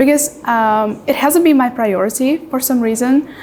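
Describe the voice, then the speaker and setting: With an Uzbek accent, a woman talks at a moderate pace in a high pitch with ordinary pitch variation over noticeable background noise. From Uzbekistan. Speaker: IELTS exam candidate. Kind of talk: mock speaking exam interview. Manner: hesitant with frequent fillers.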